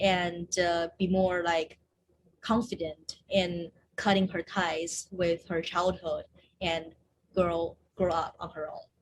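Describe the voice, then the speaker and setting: A woman with a Chinese accent speaks very slowly in a monotone, flat intonation. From China, moved to Seattle as teen. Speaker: screenwriter and actor. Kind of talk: interview.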